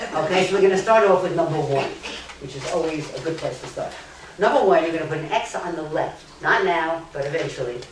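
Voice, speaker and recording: A woman talks very fast in a very deep, low voice. Noticeable background noise and audible room echo fill the recording. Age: 70s. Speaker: lecturer. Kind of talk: lecture. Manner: animated.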